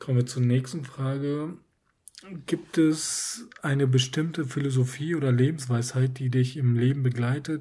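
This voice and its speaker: Somewhat breathy and dark, mellow in tone, a man speaks at a moderate pace and medium pitch with fairly even intonation. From northern Germany, Emsland. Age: 20s. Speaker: podcast co-host. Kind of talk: casual chat.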